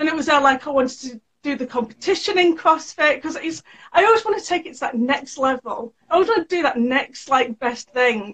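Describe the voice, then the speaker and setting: With a British accent, a woman speaks at a fairly quick pace in a high voice, her intonation lively. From UK. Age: 30s. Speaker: sewing educator and small business owner. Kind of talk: interview.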